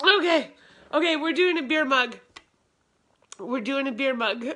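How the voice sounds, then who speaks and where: Against a quiet background, a woman speaks in a raised, projected voice at a fairly slow pace. Her intonation is lively. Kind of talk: casual live stream chat. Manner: tipsy, drowsy-eyed repetitive talk. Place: home room. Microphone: phone near.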